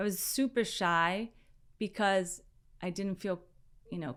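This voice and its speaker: In a Spanish accent, a woman speaks at a moderate pace with medium pitch and ordinary pitch variation, on a very clean recording with a silent background. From San Diego, California (from age five, born in Mexico). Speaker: fashion entrepreneur. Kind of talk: interview.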